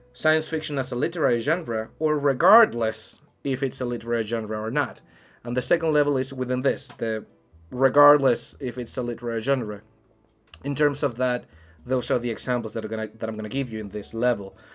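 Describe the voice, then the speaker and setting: A man talks at a fairly quick pace with ordinary pitch variation. Faint music plays in the background. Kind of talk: lecture-style explanation. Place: home room.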